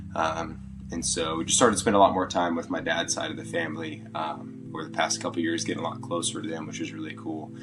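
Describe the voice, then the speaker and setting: With music in the background and audible room echo, a man speaks very fast in a very deep, low pitch that swings very widely. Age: 20s. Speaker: podcast guest. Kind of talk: casual interview chat. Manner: halting, many fillers.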